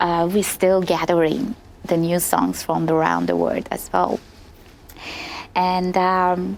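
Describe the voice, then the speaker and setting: Speaking very slowly, a woman holds her loudness very even and pauses long and often. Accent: Persian. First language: Persian. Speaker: opera singer. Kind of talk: interview. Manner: halting.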